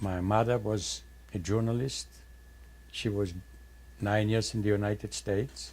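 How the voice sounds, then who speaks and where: Somewhat breathy, a man talks at a fairly slow pace in a fairly low pitch. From Poland. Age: 80s+. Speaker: Holocaust survivor. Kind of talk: testimony.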